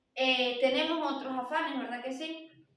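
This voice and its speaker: Her voice high in pitch, a woman speaks fairly slowly with a monotone, flat intonation. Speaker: lay preacher at women's church meeting. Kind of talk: sermon. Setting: church service.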